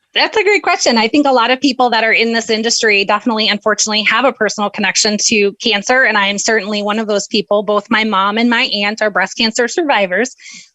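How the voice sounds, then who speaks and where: Speech races along at a very fast clip with hardly any pauses. Loudness stays very even, and background noise is noticeable. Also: woman, fairly high pitch for a woman. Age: 40s. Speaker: charity fundraising manager. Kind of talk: interview. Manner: passionate.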